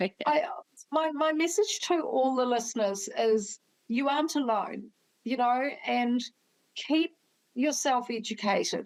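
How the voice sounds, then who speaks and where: A high-pitched woman with a New Zealand accent, lively intonation, a fairly slow pace, very even loudness, and long, frequent pauses. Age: 60s. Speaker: doctor. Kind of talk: interview.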